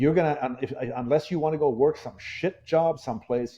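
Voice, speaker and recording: A man speaks at a moderate pace in an unremarkable speaking voice with ordinary pitch variation. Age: 60s. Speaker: dog trainer. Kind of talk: casual chat.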